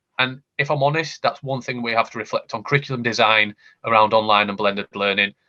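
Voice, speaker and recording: Very fast speech from a man, medium in pitch, with ordinary pitch variation. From Yorkshire, northern England. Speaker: education technology panelist. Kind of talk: panel discussion. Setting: online video call. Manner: animated, with frequent repetitions.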